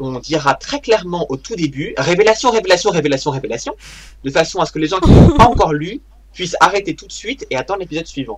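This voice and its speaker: Over noticeable background noise, a high-pitched man talks at a very fast pace, with very wide pitch swings and big swings in loudness. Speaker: podcast host. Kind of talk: casual chat.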